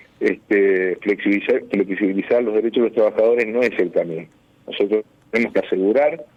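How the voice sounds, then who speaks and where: A man's fairly low voice at a fairly quick pace, with very even loudness and ordinary pitch variation. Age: 50s. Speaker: lawyer. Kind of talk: radio interview. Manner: halting, many fillers.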